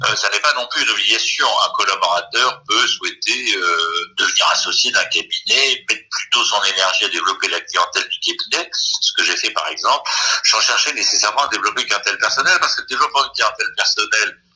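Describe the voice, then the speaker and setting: With music in the background, a man talks at a fairly quick pace in an extremely high pitch, using ordinary pitch variation and hardly any pauses. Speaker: lawyer, election candidate. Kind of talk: online panel debate. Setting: video call webinar. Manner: halting, many filler sounds.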